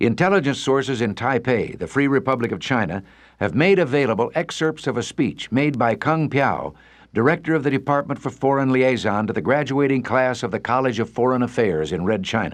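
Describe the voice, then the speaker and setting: Over a quiet background, a man with an American accent speaks in an unremarkable speaking voice at medium pitch. His intonation is lively and his pace fairly quick. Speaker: radio commentator. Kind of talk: radio commentary.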